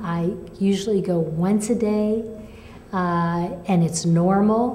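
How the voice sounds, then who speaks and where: At a very slow pace, a woman speaks with fairly even intonation, and audible room echo surrounds her voice. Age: 70s. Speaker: patient sharing recovery story. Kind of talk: testimony. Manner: halting.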